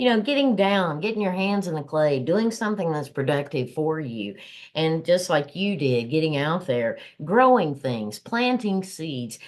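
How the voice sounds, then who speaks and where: The speaker has a Southern US accent and talks at a moderate pace. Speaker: podcast co-host. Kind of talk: casual podcast chat.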